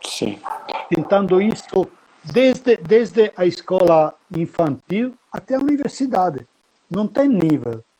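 In an Italian accent, a man speaks at a high pitch and a very slow pace, leaving long, frequent pauses. His pitch swings very widely. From Italy (Pistoia, Tuscany). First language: Italian (speaking Portuguese). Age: 60s. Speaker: military history guide and lecturer. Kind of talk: interview.

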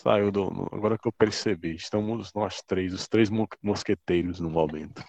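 A man speaks in a fairly low voice at a fairly slow pace. The sound is dry and close, with no echo. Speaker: podcast co-host. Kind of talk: casual chat. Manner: formal.

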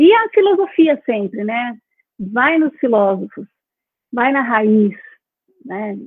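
Pitched high, a woman's voice proceeds fairly slowly. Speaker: university professor. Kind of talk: interview.

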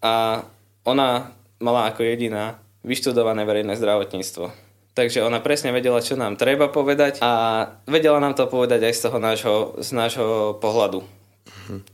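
A man with a plain, everyday voice and medium pitch speaks at a moderate pace with fairly even intonation, recorded very cleanly over a silent background. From Slovakia, Liptov region. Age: 20s. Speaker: university student. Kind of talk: casual interview.

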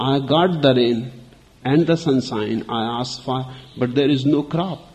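The pitch shifts in an ordinary way as a natural reading voice goes through the text.

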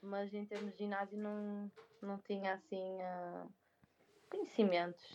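A woman speaks at a fairly slow pace in a medium-pitched voice. Her intonation is monotone and flat. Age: 20s. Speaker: speech therapist and crossfit athlete. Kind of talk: casual interview.

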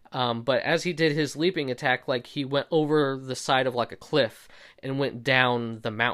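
A man with a medium pitch speaks at a moderate pace with fairly even intonation. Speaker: solo podcast host. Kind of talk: casual solo commentary. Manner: hesitant, many fillers.

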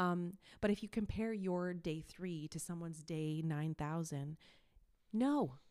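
With a Canadian accent, a woman speaks in a fairly low pitch with a dark, mellow tone. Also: ordinary pitch variation, fairly slow pace. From Quebec, Montreal anglophone suburb. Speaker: YouTuber and content creator. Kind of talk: casual interview.

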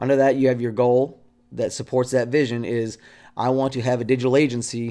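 A man speaks at a moderate pace in a medium pitch with a dark, mellow tone. His intonation stays monotone and flat. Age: 40s. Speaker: podcast host and digital marketing strategist. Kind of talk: casual solo podcast monologue. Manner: casual with frequent fillers.

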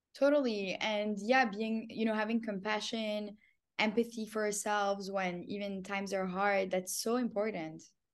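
At a moderate pace, a woman with a plain, everyday voice talks at a medium pitch with fairly even intonation. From Canada. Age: 20s. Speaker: entrepreneur. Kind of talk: casual chat.

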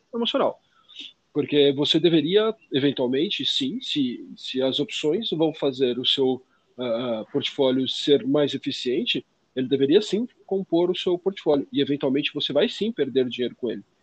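A man speaks at a moderate pace in an unremarkable speaking voice. His pitch is fairly high and his intonation lively. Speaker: finance podcast co-host. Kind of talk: casual explanatory chat.

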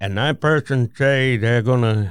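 A man with a strong Vermont accent, ordinary pitch variation and a very slow pace. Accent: thick Vermont (New England). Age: 70s. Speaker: war veteran. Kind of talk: casual chat.

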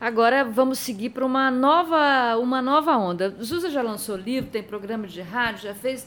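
A woman speaks in an unremarkable speaking voice. Her pitch varies in an ordinary way. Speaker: radio host. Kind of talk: interview.

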